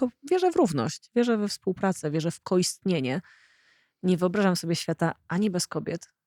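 It is a normal speaking voice at a moderate pace. The recording is very clean and silent behind it, with a dry, close sound and no echo. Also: woman. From Poland, rural. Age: 40s. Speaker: podcast host. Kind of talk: casual interview conversation.

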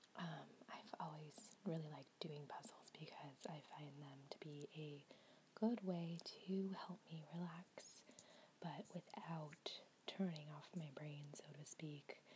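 Soft-spoken and somewhat breathy, a woman talks at a very slow pace with a very deep, low pitch, fairly even intonation and a calm tone. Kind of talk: ASMR soft-spoken puzzle solving, casual talk to camera. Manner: soft-spoken, calm, relaxing.

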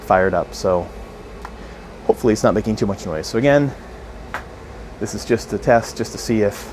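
A man talks at a fairly quick pace and a fairly low pitch with ordinary pitch variation. Music plays in the background. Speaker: camera reviewer. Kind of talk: casual vlog chat. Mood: mildly frustrated, joking. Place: home room.

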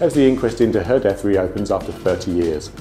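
With faint music in the background, a man speaks at a fairly quick pace. His voice is fairly low. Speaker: news presenter. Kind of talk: news bulletin presenter. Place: studio.

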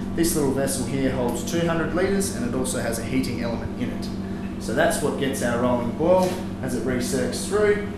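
A moderate pace with audible room echo and loud background noise. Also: man. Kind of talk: interview answer, equipment tour. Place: factory.

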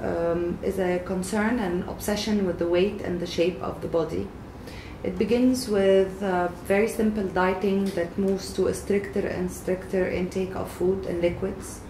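A woman talks at a moderate pace with fairly even intonation, heard over light background noise with audible room echo. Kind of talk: expert explainer. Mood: calm, serious. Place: office.

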